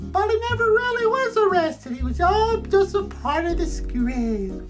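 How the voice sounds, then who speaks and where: In a cartoonish character voice, a female-sounding speaker squeaks at an extremely high pitch and a moderate pace while music plays clearly in the background. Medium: puppet show. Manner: bubbly, naive.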